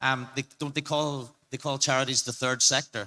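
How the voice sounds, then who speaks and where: With an Irish accent, a man at medium pitch speaks at a fairly quick pace in a bright, sharp tone and fairly even intonation. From Ireland. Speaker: crypto marketing advisor. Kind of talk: panel discussion. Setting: stage with audience.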